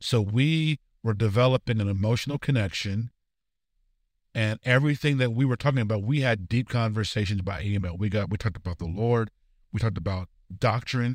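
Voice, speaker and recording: At a fairly quick pace, a man with a plain, everyday voice speaks in a medium pitch with ordinary pitch variation on a very clean recording with a silent background. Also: dry, close sound with no echo. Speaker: podcast host. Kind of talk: casual conversational podcast discussion.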